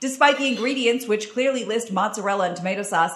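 A woman's intonation is lively, with noticeable background noise behind her. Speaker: news reporter on podcast. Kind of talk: news reading. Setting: stage with audience.

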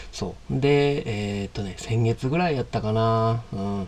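Here a man talks at a fairly slow pace with a medium pitch. His intonation is lively. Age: 30s. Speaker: podcast host, coffee vendor. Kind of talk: casual monologue. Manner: halting.

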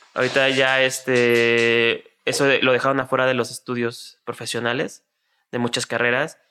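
Music plays in the background as a man speaks. His loudness stays very even and his intonation is monotone and flat. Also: medium pitch for a man, moderate pace. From Mexico City. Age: 20s. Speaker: podcast co-host. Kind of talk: casual chat.

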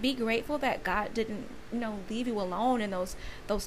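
A woman talks here. Noticeable noise fills the background. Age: 30s. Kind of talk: personal testimony monologue. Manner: casual, filler-heavy with frequent laughs.

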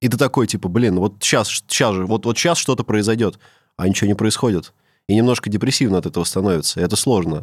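Very fast and fairly low in pitch, a man speaks with ordinary pitch variation and very even loudness. The recording is very clean against a silent background. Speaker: podcast host. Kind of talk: casual banter.

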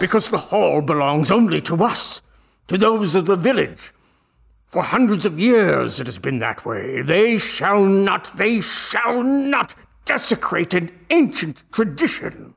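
Putting on a character voice, a man speaks fairly slowly at a high pitch, with very wide pitch swings and long, frequent pauses. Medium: audio drama. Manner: archaic thee-thou speech.

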